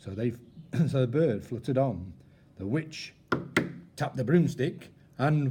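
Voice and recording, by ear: Words are read out loud here in a natural voice.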